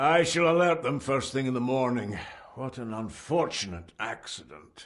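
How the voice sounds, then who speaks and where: A man puts on a character voice at a medium pitch. His intonation is lively. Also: moderate pace. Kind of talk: servant's formal address. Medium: video game. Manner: formal, restrained.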